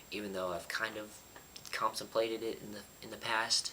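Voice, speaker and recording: There is noticeable background noise behind this man. He talks at a moderate pace, his pitch varying in an ordinary way. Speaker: YouTuber. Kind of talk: casual vlog talk. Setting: apartment. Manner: quiet, lowered voice.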